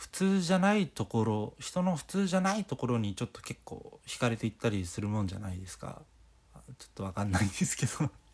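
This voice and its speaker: In a relaxed tone, a man with a medium pitch and a somewhat breathy voice talks at a fairly quick pace, with very wide pitch swings and big swings in loudness. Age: 20s. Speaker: podcast host. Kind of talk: casual chat. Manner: relaxed rambling.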